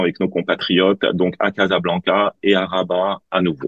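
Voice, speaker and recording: The speaker is a man. His pitch is fairly low. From Tunisia. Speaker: politician, parliamentary candidate. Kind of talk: political debate.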